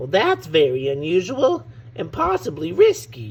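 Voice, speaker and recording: Putting on a character voice, a man with a fairly high pitch speaks at a moderate pace over light background noise. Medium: read story. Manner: timid, stammering.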